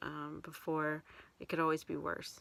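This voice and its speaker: A soft-spoken woman with a very deep, low pitch talks at a fairly slow pace on a very clean recording with a silent background. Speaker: vlogger. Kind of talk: casual chat. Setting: in a closet. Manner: halting. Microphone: too quiet.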